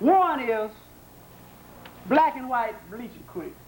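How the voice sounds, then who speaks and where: Speaking at a fairly slow pace, a man with a Southern US accent uses lively intonation against noticeable background noise. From American South. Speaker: psychologist and lecturer. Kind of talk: public lecture.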